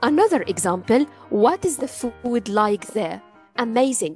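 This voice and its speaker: A woman speaks at a moderate pace with a fairly high pitch, music playing in the background. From Egypt. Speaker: English teacher. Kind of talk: language lesson.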